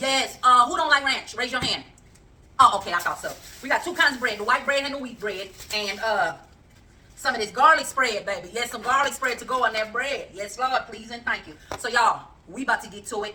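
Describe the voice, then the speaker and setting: The tone is animated, with ordinary pitch variation. Loudness swings widely. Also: woman, high pitch for a woman, fairly quick pace. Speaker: cooking channel host. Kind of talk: casual cooking vlog chat.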